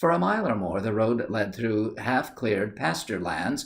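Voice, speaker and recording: Here is a man with an ordinary speaking voice at a medium pitch. He talks at a moderate pace with lively intonation. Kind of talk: audiobook reading.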